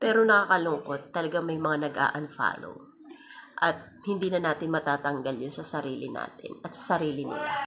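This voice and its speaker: A woman with a very deep, low voice talks at an average speed, her pitch shifting in the usual way. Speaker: content creator. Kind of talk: casual vlog monologue. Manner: breathy, sounds out of breath while talking; unscripted, spontaneous.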